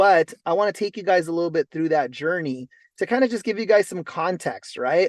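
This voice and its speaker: A man with a West Coast American accent, ordinary pitch variation and a fairly quick pace, in a dry, close sound with no echo and a quiet background. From Los Angeles. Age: 40s. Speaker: network marketing entrepreneur. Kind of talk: motivational talk on a group call. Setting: in a car on a conference call. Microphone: mobile hotspot connection.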